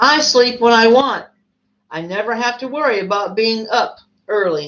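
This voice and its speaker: A woman does a put-on character voice at a fairly high pitch and a moderate pace. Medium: read story. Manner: refined, self-satisfied.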